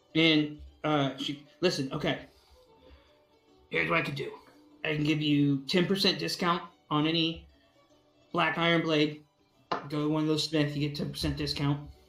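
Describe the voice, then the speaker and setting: A raspy put-on character voice at middle pitch moves at a moderate pace with long, frequent pauses over faint background music. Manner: blunt, irritated, bossy.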